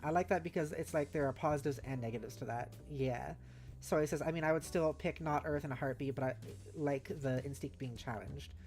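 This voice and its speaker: A woman's very deep, low voice at a very fast pace, lively in intonation, with music in the background. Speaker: streamer reading chat. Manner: casual, chatty.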